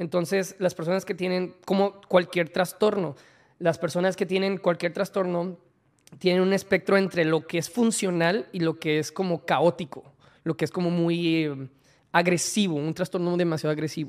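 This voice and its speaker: A man with a high pitch speaks at a moderate pace with fairly even intonation. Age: 30s. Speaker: content creator and swim coach. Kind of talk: interview.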